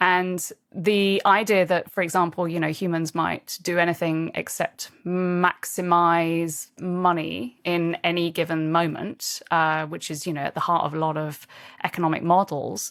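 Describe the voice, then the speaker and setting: On a very clean recording with a silent background, a woman with a British accent speaks fairly slowly in a fairly low pitch, her intonation monotone and flat. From England. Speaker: leadership coach and author. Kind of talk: interview.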